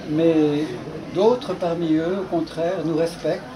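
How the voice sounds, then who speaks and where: Over noticeable background noise and audible room echo, a man talks very slowly at a high pitch with ordinary pitch variation. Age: 80s+. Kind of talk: speech at a dinner. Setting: dinner gathering.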